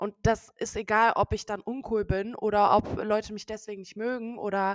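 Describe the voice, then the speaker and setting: A woman's fairly high voice, dry and close with no echo. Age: 20s. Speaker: social media creator. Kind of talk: casual chat. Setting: online call from separate locations.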